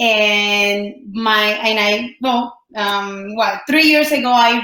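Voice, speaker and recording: A woman with a Colombian accent, fairly high pitch and fairly even intonation. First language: Spanish. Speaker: entrepreneur and life coach. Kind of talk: podcast interview. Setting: studio.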